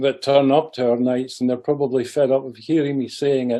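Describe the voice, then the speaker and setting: A dark, mellow tone with a Scottish accent. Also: man. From Scotland. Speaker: president of a heritage society, talk speaker. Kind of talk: club talk. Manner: hesitant, with fillers.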